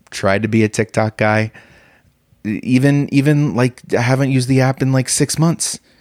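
A man's medium-pitched voice with ordinary pitch variation at a moderate pace, very clean recording over a silent background, dry and close with no echo. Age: 30s. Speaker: comedian. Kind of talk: solo comedy podcast monologue. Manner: animated, with laughs; halting, repeats words.

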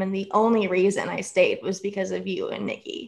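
A woman speaks with fairly even intonation. She has an ordinary speaking voice. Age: 20s. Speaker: author. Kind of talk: casual chat.

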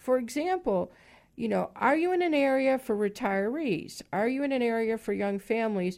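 Over a quiet background, a woman with a plain, everyday voice speaks at a moderate pace and fairly high pitch, her intonation lively and her loudness very even. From Chicago, US Midwest. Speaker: property management consultant. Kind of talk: radio interview.

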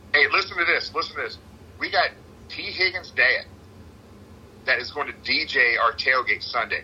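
With an animated tone, a man talks at a moderate pace over noticeable background noise, leaving long, frequent pauses. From Cincinnati. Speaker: tailgate organizer and sports superfan. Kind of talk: casual interview.

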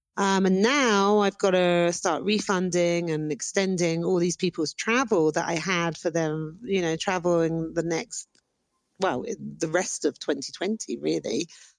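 On a very clean recording with a silent background, a woman speaks with a British accent. Her pitch is fairly low and her pace fairly slow. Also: ordinary pitch variation. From Britain. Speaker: corporate travel agent. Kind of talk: voice message.

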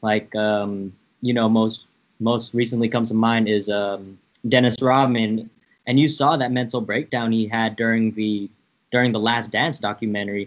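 A man with an American accent uses a plain, everyday voice at a medium pitch with fairly even intonation. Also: moderate pace. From San Francisco, US. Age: 20s. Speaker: podcast host, guest. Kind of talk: casual chat.

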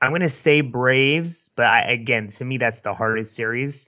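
A man with a Bay Area accent talks at a moderate pace. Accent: Bay Area California. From San Francisco Bay Area. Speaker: podcast co-host. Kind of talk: casual chat. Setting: video call.

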